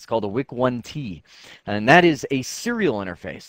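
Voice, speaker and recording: Over a quiet background, a man speaks in an animated tone with lively intonation. The sound is dry and close, with no echo. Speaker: IT trainer. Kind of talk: tutorial. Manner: fast.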